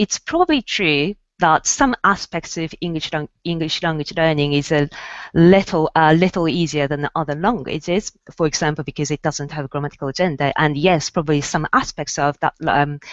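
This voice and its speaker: A woman speaks with a Japanese accent at a moderate pace. Her pitch is very deep and low, with ordinary variation. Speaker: university language researcher. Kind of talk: panel discussion. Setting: video call. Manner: halting.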